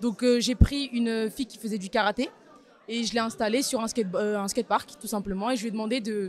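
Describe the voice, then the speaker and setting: Fairly high in pitch, a woman speaks at a moderate pace with fairly even intonation. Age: 20s. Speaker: young photographer. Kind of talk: interview testimony.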